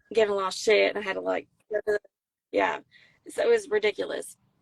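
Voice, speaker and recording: In a South Carolina accent, a woman speaks with a dry, close sound that has no echo. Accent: Southern US, South Carolina. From US South, South Carolina near Myrtle Beach. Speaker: Marine veteran and country singer-songwriter. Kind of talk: casual interview chat.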